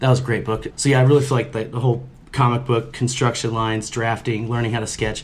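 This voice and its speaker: At a very fast pace, a man speaks in a medium pitch with monotone, flat intonation. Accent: American. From US Midwest. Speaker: mural and sign painter. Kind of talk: casual chat.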